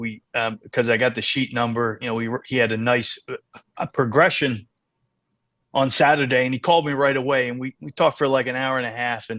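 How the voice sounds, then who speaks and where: A man speaks at a medium pitch and a moderate pace, with ordinary pitch variation against a quiet background. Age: 60s. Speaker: racehorse owner. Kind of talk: podcast interview. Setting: podcast. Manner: halting, many fillers and repeats.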